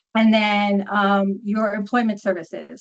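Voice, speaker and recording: A woman speaks with a New York accent. Her pitch is medium. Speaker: social worker and documentation trainer. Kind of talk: training webinar. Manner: fast.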